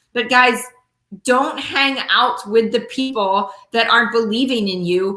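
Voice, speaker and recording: With audible room echo, a woman with a fairly high voice speaks at a moderate pace using lively intonation. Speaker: network marketing leader and motivational speaker. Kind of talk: motivational talk. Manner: animated.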